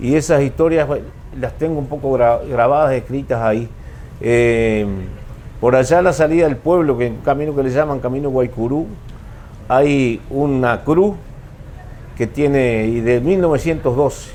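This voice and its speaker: Through noticeable background noise, a man speaks with ordinary pitch variation and long, frequent pauses. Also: medium pitch for a man, moderate pace. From rural Uruguay, San José department. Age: 70s. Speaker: writer of rural stories. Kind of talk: talk at a book fair. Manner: halting.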